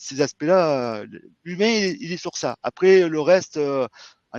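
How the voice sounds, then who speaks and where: The voice has ordinary pitch variation, with a dry, close sound with no echo and a quiet background. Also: man. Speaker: IT security manager. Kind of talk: interview / webinar talk. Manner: hesitant, many fillers.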